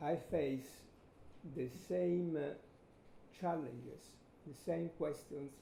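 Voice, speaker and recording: With audible room echo, a man speaks in a dark, mellow tone marked by vocal fry. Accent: Italian. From Italy. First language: Italian. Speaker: photographer. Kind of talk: lecture.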